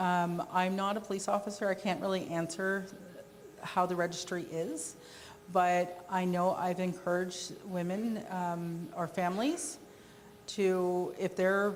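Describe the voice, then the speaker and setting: A woman's medium-pitched, fairly even voice at a fairly slow pace, with long, frequent pauses and audible room echo. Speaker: conference presenter on victim services. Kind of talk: presentation with Q&A.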